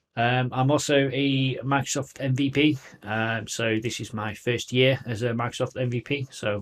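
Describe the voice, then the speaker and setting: With a Manchester accent, a man at a medium pitch talks with fairly even intonation and hardly any pauses. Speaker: tech company field CTO presenter. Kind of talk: technical presentation.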